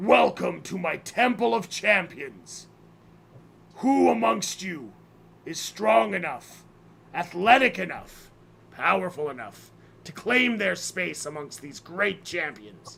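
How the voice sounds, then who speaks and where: A man puts on a character voice pitched high. He goes at a fairly slow pace with long, frequent pauses. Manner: grand, commanding.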